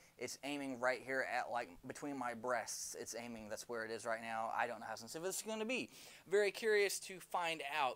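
Here a man talks at a fairly quick pace. His intonation is lively. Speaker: product reviewer. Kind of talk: casual review talk. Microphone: podium.

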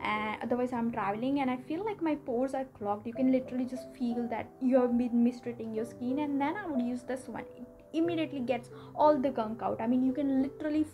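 A woman talks at a very fast pace in a high pitch with ordinary pitch variation. Noticeable background noise can be heard. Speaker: beauty vlogger. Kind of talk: casual product review chat. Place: home room.

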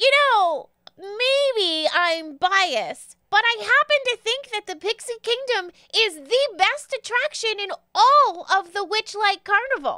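A woman uses a put-on character voice with an extremely high pitch. She talks at a fairly slow pace. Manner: proud, proclaiming.

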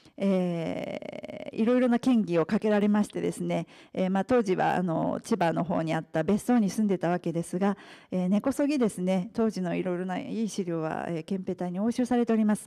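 Against a quiet background, a woman talks at a moderate pace in a dark, mellow tone. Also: medium pitch for a woman, ordinary pitch variation. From Japan, partly raised in England. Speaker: author and restaurant executive. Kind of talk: lecture. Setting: press club talk with audience. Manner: formal. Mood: polite formal speech. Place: hall.

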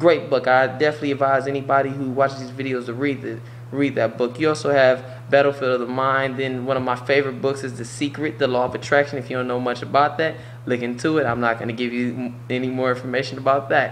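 A man's monotone, flat delivery at a very fast pace, with light background noise. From US Midwest, Cleveland, Ohio; Ohio. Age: 20s. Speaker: vlogger. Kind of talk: motivational monologue. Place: home room. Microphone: webcam.

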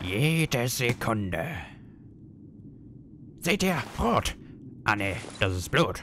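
A man speaks at a very slow pace, with long, frequent pauses and very wide pitch swings around a medium pitch. Background noise is clearly present. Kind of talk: amateur fan dub. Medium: fan dub. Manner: cocky, mocking.

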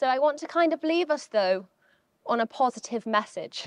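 Lively intonation marks this woman's moderate-paced speech, recorded as a dry sound with no echo over a quiet background. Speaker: climate scientist; keynote speaker. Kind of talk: keynote talk. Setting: stage with audience. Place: hall. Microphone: handheld.

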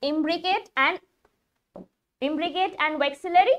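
An extremely high-pitched woman speaks at a moderate pace with lively intonation. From India. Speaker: biology teacher for exam prep. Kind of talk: live online lecture. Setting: live-streamed online class. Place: studio.

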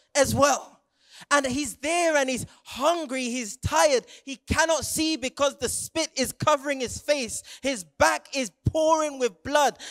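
An animated man's voice with a British accent, extremely high-pitched, over a quiet background. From England, Jamaican heritage. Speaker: youth preacher. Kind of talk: sermon. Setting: stage with audience. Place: stage. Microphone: handheld.

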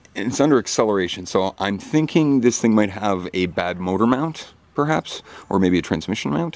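This man has a normal speaking voice at a fairly low pitch and talks at a fairly quick pace. The sound is dry with no echo. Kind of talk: casual vlog chat. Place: street. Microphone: phone near.

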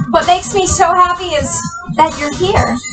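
Over music in the background, a woman uses a raised, projected voice at a moderate pace with lively intonation. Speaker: fitness instructor. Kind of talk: exercise class cueing. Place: home room.

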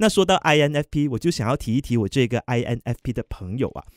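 Heard dry and close with no echo on a very clean recording with a silent background, a man speaks in a plain, everyday voice at a medium pitch. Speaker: radio DJ trainee. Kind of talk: practice radio hosting segment.

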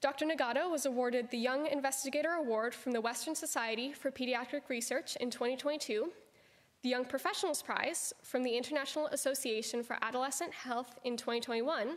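Her voice high, a woman talks at a fairly quick pace with fairly even intonation and very even loudness. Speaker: student host introducing the speaker. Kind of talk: formal speaker introduction. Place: hall.

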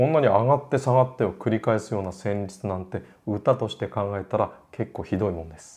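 Fairly low-pitched and quick, a man speaks with hardly any pauses, big swings in loudness and ordinary pitch variation. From Japan. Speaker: classical music educator, opera singer; classical music educator. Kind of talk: lecture; casual chat. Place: home room.

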